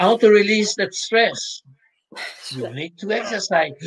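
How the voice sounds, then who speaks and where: In a Quebec accent, a man speaks with ordinary pitch variation. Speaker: sports psychologist. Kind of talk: interview.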